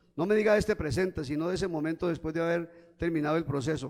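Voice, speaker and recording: Pitched high, a man talks at a very fast pace. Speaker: preacher. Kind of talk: sermon.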